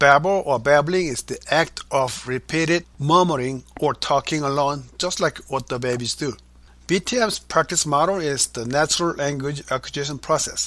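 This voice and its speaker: A man with a Korean accent, fairly high-pitched, bright and sharp in tone, on a very clean recording with a silent background. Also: ordinary pitch variation, moderate pace. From South Korea. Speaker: author and language educator. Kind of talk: interview. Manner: formal.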